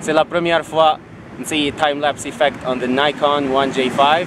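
Noticeable background noise runs under this man's voice. The sound is dry, with no echo. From Algeria. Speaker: travel vlogger. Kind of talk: casual vlog talk to camera. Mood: playful, upbeat. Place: street. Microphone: phone near.

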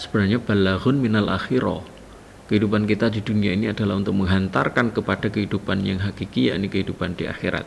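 A man's fairly low voice at a very fast pace, ordinary pitch variation, with light background noise. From Jombang, East Java, Indonesia; East Java, Indonesia. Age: 40s. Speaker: teacher, vice principal for curriculum. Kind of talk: school orientation presentation. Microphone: webcam.

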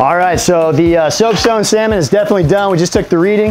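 Faint music plays in the background as a man speaks at a very fast pace. His pitch is high, with ordinary pitch variation. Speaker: store grill demonstrator. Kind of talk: cooking tutorial. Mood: upbeat, friendly. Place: garden.

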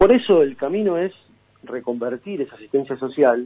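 A man is talking. His tone is dark and mellow. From Buenos Aires, Argentina. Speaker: provincial senator. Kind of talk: radio interview.

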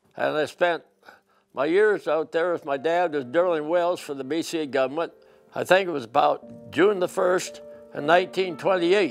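Faint music plays in the background. A man talks at a moderate pace with a fairly high pitch. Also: ordinary pitch variation. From British Columbia, Canada. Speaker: interviewee recalling his youth. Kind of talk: interview answer. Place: home room. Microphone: lapel.

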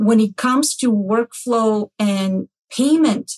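A woman's somewhat breathy, fairly high voice, in dry, close sound with no echo. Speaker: healthcare executive, podcast host.

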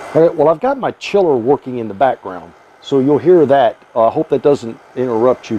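The speaker is a man, talking at a moderate pace. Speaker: home distilling instructor. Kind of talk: tutorial. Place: workshop.

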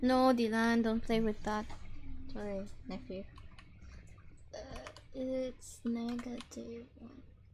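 A woman at a very slow pace, with long, frequent pauses, big swings in loudness and audible room echo. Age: 20s. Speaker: game streamer. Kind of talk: casual chat.

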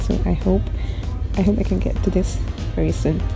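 A woman talks fairly quickly while clear music plays behind her. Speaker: bookstore part-timer vlogger. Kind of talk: casual vlog chat. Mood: enthusiastic, excited. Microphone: phone near.

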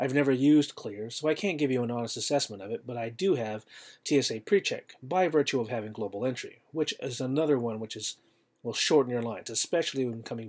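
A very fast pace with ordinary pitch variation over a quiet background. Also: man. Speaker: travel tips vlogger. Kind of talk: tutorial. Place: home room. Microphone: webcam.

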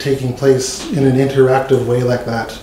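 The delivery is at a moderate pace in a monotone, flat intonation. Audible room echo and light background noise come through. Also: man. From Canada. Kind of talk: testimony. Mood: earnest, heartfelt. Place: meeting room. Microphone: podium.

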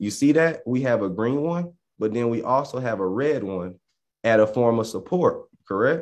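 Lively intonation from a man at medium pitch and a moderate pace, over a quiet background. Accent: Southern US. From US South. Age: 20s. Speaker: options trading educator. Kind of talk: tutorial. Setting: livestream. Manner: animated. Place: home room. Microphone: video call.

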